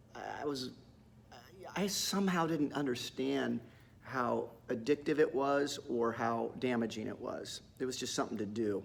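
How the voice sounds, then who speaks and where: A man speaks at a fairly slow pace with vocal fry. His intonation is lively. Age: 60s. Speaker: acting teacher. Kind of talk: casual talk to camera. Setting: studio. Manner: halting, repetitive.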